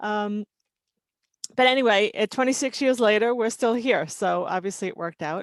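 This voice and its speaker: A woman with a New York accent at a fairly quick pace, ordinary pitch variation, a dry, close sound with no echo, and a very clean recording with a silent background. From New York City (Queens, Long Island). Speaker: toxicology and regulatory consultant. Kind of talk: mentoring talk about career. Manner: casual, many fillers.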